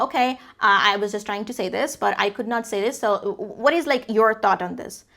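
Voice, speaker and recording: A woman uses a put-on character voice, fairly high in pitch. She mumbles at a moderate pace. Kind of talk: filler-laden, unsure, non-native-style speech. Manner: mumbled, hesitant, unarticulated.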